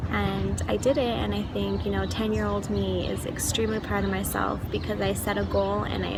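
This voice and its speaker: With an American accent, a woman speaks at a moderate pace in a very deep, low pitch with ordinary pitch variation. Room echo is audible, and there is noticeable background noise. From El Paso, Texas. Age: 20s. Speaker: university student. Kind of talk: personal vlog introduction. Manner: chatty.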